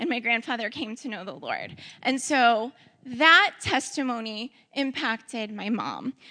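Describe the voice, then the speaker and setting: Speaking at a fairly slow pace, this voice has a bright, sharp tone and a Midwestern American accent. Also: woman, high pitch for a woman, ordinary pitch variation. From St. Louis area, Missouri (Ferguson). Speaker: church member sharing ministry experience. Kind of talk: testimony talk.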